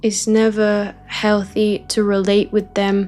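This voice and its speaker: A woman at medium pitch, calm and soothing in tone, with monotone, flat intonation and a very slow pace over music in the background. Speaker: spiritual teacher. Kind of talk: guided spiritual teaching session, ASMR-style. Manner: calm, soothing, slow.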